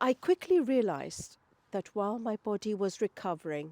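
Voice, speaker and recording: A woman with a British accent speaks at a medium pitch, the very clean recording having a silent background and a dry, close sound with no echo. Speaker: lifestyle and wellbeing vlogger. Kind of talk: personal vlog talk to camera.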